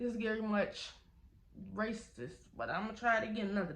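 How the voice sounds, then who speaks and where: Audible room echo surrounds a woman speaking at a moderate pace. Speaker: YouTuber telling a story time. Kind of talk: storytime vlog. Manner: loud.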